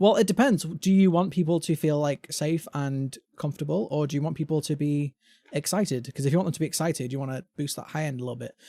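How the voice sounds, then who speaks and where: With a British accent, a man talks very fast in a dark, mellow tone, fairly high in pitch with ordinary pitch variation, on a very clean recording with a silent background. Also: dry, close sound with no echo. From England. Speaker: gaming podcast host. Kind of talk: casual chat.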